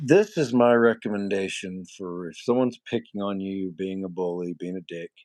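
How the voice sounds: The voice is nasal and has lively intonation. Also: man.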